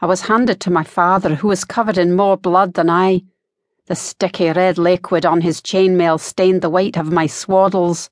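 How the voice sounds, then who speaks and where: A woman of medium pitch speaks at a moderate pace with monotone, flat intonation. The sound is dry and close with no echo, over a quiet background. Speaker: audiobook narrator. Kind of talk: scripted audiobook narration, first-person historical character monologue. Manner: dramatic, indignant, theatrical, then solemn and haunting.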